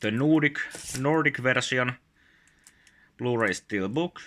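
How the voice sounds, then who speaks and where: Very slowly, a man with a Finnish accent speaks in a bright, sharp tone with lively intonation, recorded very cleanly against a silent background. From Finland. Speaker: YouTuber, collector. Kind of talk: casual show-and-tell video. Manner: halting, many filler sounds.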